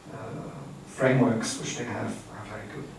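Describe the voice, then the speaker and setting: The speech moves at a moderate pace. Audible room echo and noticeable background noise fill the recording. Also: man. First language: not English. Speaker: academic trainer. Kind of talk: lecture. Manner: halting.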